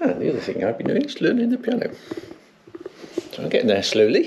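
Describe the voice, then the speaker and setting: A man's voice over loud background noise. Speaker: vlogger. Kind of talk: casual vlog chat. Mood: cheerful, a bit shy. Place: home room. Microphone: phone near.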